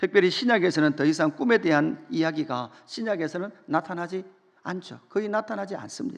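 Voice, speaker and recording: A man's high-pitched voice with lively intonation at a moderate pace, over a quiet background. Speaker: pastor. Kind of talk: sermon.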